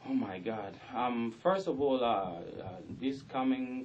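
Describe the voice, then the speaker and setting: The speaker is a man. Room echo can be heard. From South Sudan. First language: South Sudanese language (mother tongue). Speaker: rapper. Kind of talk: radio interview. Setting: radio studio.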